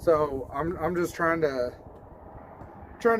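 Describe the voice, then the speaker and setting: A man with an American accent talks at a fairly slow pace in a high pitch for a man, with ordinary pitch variation and noticeable background noise. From US South. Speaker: DIY video host. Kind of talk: casual vlog talk. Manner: casual, halting with repetitions.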